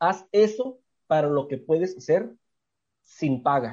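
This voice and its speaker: A man talks at a fairly high pitch with a dark, mellow tone. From Tijuana, Mexico. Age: 30s. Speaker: communication professor and former folk singer. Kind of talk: casual interview chat.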